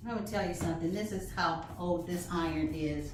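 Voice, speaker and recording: A somewhat breathy voice with audible echo from the room. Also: woman. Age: 60s. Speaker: flag-making craft teacher. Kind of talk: tutorial. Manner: casual, chatty.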